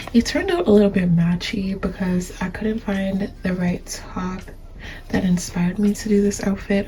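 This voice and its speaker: Medium-pitched speech from a woman, set against noticeable background noise. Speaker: fashion YouTuber. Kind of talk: casual vlog narration. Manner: soft-spoken; slow.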